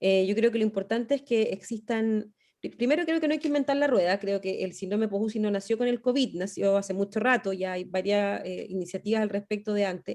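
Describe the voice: A woman speaks with a dark, mellow tone. Her medium pitch shows ordinary variation. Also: fairly quick pace.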